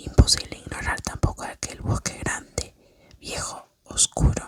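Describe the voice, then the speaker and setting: A woman whispers fairly slowly while noticeable background noise carries on around her. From Argentina. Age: 20s. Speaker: ASMR creator. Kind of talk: sleep story. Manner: whispered, soft.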